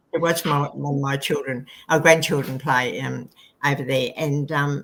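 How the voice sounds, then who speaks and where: Speaking with an Australian accent, a woman has a very deep, low pitch. Her intonation stays fairly even at a moderate pace. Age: 70s. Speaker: book co-author. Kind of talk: interview conversation. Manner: halting.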